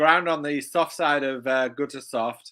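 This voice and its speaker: Against a quiet background, a man talks at a fairly high pitch for a man. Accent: British. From UK. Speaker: horse racing handicapper. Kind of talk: race analysis discussion. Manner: halting, repeats words.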